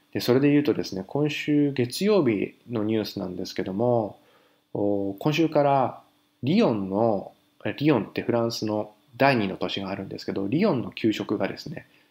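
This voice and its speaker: On a very clean recording with a silent background, a man speaks in a plain, everyday voice at a moderate pace. His intonation is lively, and his loudness swings widely. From Japan, Fukushima. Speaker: haiku poet, parent living in Paris. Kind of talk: casual monologue segment.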